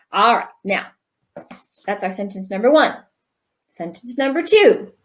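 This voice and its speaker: Somewhat breathy and animated in tone, a woman speaks at a fairly slow pace with a fairly high pitch and lively intonation. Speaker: primary school teacher. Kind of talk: tutorial.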